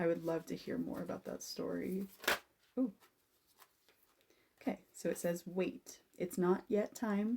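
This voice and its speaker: A woman with a dark, mellow voice and vocal fry speaks with ordinary pitch variation and long, frequent pauses. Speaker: tarot and aura reader. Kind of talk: personal reading recorded for a client. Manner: animated.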